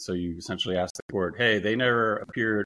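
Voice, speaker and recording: Recorded dry and close with no echo over a quiet background, a man with an American accent and a fairly low pitch talks at a very fast pace. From USA. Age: 40s. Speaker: wrongfully fired worker who won a lawsuit. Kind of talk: interview conversation.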